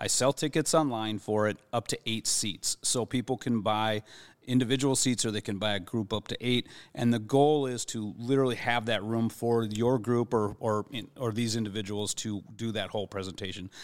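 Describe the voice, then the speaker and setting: On a very clean, dry, close recording with no echo and a silent background, a man in a normal speaking voice talks at medium pitch and a moderate pace with fairly even intonation. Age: 50s. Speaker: spirits director at a bar. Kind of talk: casual chat. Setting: studio.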